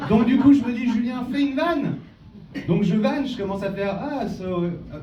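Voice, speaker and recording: An animated man with an extremely high pitch talks at a moderate pace, with audible room echo and noticeable background noise. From France, Valence. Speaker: magician. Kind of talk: stand-up. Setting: stage with audience. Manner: halting.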